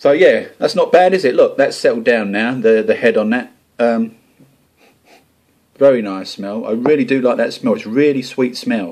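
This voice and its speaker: A man talks with an Essex accent. He keeps a moderate pace. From England, Essex. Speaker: homebrewing video blogger. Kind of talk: casual vlog talk to camera. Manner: informal, chatty.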